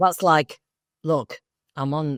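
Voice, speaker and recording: A woman speaks with an English accent. The recording is very clean, with a silent background. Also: dry, close sound with no echo. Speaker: actor and spiritual coach. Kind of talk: interview. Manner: speaking in low tones; animated.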